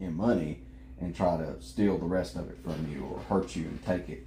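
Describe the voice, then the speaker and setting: A man's very deep, low voice in a Southern US accent, with lively intonation at a fairly slow pace and audible room echo. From US South, South Carolina. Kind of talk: casual chat. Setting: live stream.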